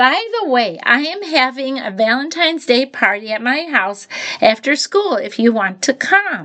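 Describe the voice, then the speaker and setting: Using a put-on character voice, a woman speaks at a high pitch and a moderate pace. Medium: read story.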